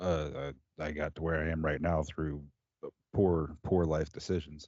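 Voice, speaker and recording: This man's pitch is very deep and low. He speaks with monotone, flat intonation. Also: moderate pace. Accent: American. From US Midwest, Indiana. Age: 30s. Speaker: motorcycle builder and podcast host. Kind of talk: casual interview.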